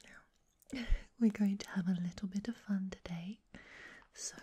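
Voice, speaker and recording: A woman's somewhat breathy voice, dark and mellow in tone, with fairly even intonation. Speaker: ASMR creator. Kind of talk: ASMR personal attention. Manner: soft-spoken, whispered. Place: home room. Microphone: studio mic.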